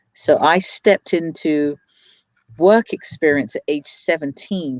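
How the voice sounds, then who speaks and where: A woman's very deep, low voice in a London accent, with a dry, close sound and no echo. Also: quiet background. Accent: London, British. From England, London. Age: 40s. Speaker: business owner and crypto investor. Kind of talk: interview, personal story.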